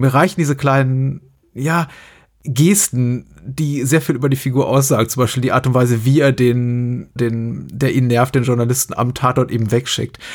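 In a very clean recording with a silent background, a man with an ordinary speaking voice talks at a moderate pace, medium in pitch and fairly even in intonation. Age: 40s. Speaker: podcast host. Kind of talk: casual chat.

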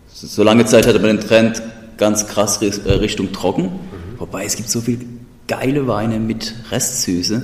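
A man with a Hessian accent talks at a moderate pace and a fairly low pitch, his intonation fairly even. Noticeable background noise is present. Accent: Odenwald dialect. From Odenwald, Germany. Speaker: podcast host. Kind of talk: casual chat.

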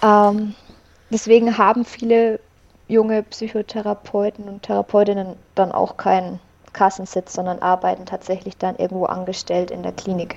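A woman speaks in a monotone, flat way. Her loudness swings widely. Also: medium pitch for a woman, moderate pace. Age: 20s. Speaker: psychologist. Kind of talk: interview.

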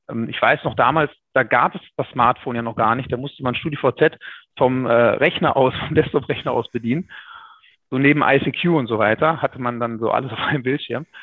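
A man with a plain, everyday voice speaks with ordinary pitch variation. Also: medium pitch for a man, moderate pace. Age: 30s. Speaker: insurance broker. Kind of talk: interview.

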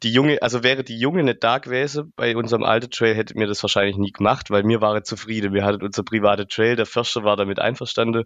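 Speaking with a Swabian accent, a man keeps a medium pitch and fairly even intonation. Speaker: trail builder. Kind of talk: casual interview. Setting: podcast.

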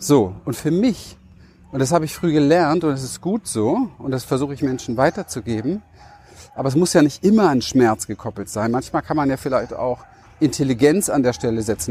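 With a plain, everyday voice, a man speaks at a moderate pace. His pitch is fairly high and his intonation lively. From Berlin, Germany. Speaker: life and business coach. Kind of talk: motivational monologue.

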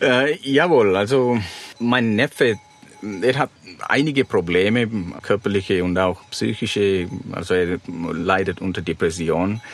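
With noticeable background noise behind him, a man speaks fairly slowly at a fairly low pitch, using lively intonation and long, frequent pauses. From Sri Lanka. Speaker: van-life traveller and author. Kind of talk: interview. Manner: halting, with many fillers.

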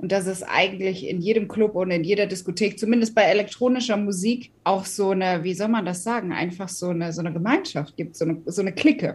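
A woman with a medium-pitched, somewhat breathy voice speaks at a very fast pace. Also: ordinary pitch variation, hardly any pauses. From Hesse, Germany (Wiesbaden/Taunusstein area). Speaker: DJ. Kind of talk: casual interview. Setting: home office.

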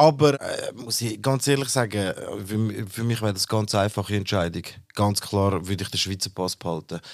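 This man has a normal speaking voice with a fairly low pitch. He talks at a moderate pace with ordinary pitch variation. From Switzerland, born in Turkey. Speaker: podcast co-host. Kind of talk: casual discussion.

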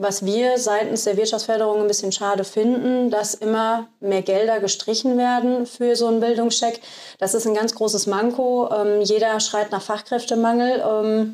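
Her fairly high voice carries a monotone, flat intonation at very even loudness. The woman is heard in a very clean recording with a silent background. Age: 30s. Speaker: business development officer. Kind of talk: casual interview.

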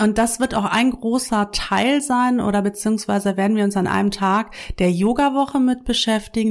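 A normal speaking voice at a moderate pace with fairly even intonation, on a very clean recording with a silent background. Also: woman. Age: 40s. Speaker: yoga teacher and podcast host. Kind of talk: casual monologue. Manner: conversational with many fillers.

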